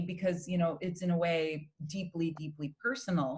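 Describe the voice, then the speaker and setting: In a Spanish accent, a woman talks at a fairly low pitch with ordinary pitch variation. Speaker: opera singer. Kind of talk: interview.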